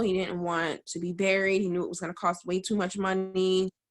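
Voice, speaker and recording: Speaking fairly quickly, a woman uses an ordinary speaking voice. Her pitch sits in the medium range. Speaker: widow, business owner. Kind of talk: interview answer about husband's illness.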